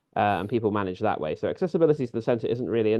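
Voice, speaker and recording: A man's fairly low-pitched voice with a British accent. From London, England. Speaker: community leader. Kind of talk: webinar talk. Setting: video webinar. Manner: conversational, some hesitations.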